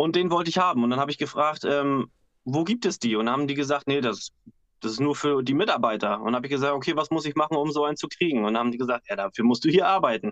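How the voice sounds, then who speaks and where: A man speaks at a very fast pace with lively intonation and a fairly high pitch. The sound is dry and close, with no echo. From Husum, northern Germany. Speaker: bassist and backing singer. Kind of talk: casual chat. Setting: video call from home.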